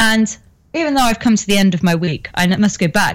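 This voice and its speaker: In a very clean recording with a silent background, a somewhat breathy woman talks at a fairly quick pace with lively intonation. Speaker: co-host.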